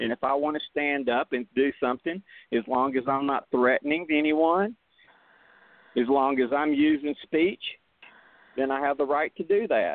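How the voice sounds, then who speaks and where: A man with an American accent at a fairly high pitch, with a moderate pace, ordinary pitch variation and long, frequent pauses. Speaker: veteran advocating on VA issues. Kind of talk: radio interview. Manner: voice rises, loud when agitated.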